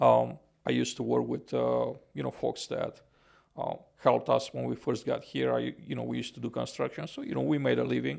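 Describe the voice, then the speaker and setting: A man talks at a fairly quick pace. He speaks with a Romanian accent. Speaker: podcaster and housing consultant. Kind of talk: podcast interview. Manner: halting, many fillers.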